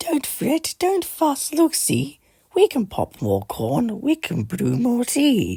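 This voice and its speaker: This squeaky, put-on character voice has a fairly high pitch and moves at a very slow pace. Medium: read story.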